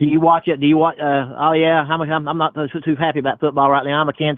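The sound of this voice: A man talks fast at a fairly high pitch with little pitch movement, in a dry, close sound with no echo.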